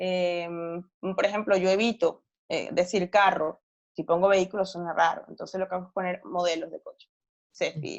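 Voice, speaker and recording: At a moderate pace, a woman with a strong Venezuelan accent speaks at a medium pitch, her loudness swinging widely. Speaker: novelist and journalist. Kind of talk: interview. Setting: podcast recording.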